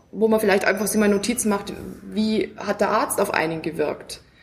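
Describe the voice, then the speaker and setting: A woman's fairly even intonation comes through with audible room echo. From Bavaria, near Munich. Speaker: self-help group member, patient. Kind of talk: casual chat. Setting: at a medical conference.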